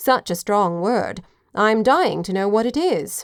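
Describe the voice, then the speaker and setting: In a put-on character voice, a woman sounds raspy at medium pitch on a very clean recording with a silent background. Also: fairly slow pace, lively intonation. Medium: read story.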